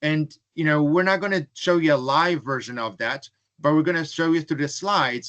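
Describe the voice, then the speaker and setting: A man with a non-native accent, fairly high in pitch with ordinary pitch variation, at a moderate pace in a dry, close sound with no echo. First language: not English. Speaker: webinar presenter. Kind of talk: webinar presentation. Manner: frequent fillers, um and uh.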